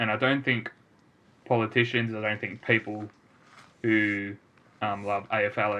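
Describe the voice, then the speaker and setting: A man with an Australian accent speaks at a fairly slow pace in a fairly low pitch, his bright, sharp tone held in monotone, flat intonation. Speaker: podcast co-host, amateur footballer. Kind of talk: casual chat.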